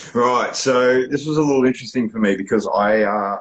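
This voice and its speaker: A man with a strong Australian accent and a fairly quick pace. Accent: broad Australian. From Australia, Melbourne suburbs. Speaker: poet. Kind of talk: casual interview. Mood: open, reflective. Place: home room. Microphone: video call.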